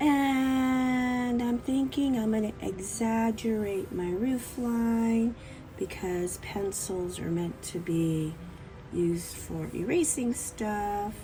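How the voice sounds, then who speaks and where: Music plays in the background while a woman speaks with lively intonation. Audible room echo is present. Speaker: art teacher. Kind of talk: tutorial. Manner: casual, playful.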